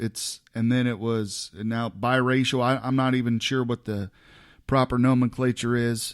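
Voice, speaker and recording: On a very clean recording with a silent background, a man with an American accent speaks at a moderate pace in a monotone, flat intonation. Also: medium pitch for a man. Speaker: podcast host. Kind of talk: casual chat. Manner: halting.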